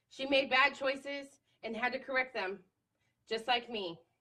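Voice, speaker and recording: A woman's raised, projected voice, high-pitched, bright and sharp in tone, with ordinary pitch variation at a fairly slow pace. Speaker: feminist writer and advocate. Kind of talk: reading of own angry writing, slam poetry. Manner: angry, intense.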